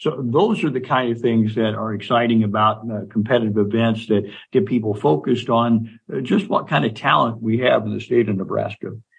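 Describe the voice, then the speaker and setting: A man with an American accent at a medium pitch, ordinary pitch variation and a fairly quick pace. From Indiana, US Midwest. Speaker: fair marketing director, former radio broadcaster. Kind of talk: radio interview.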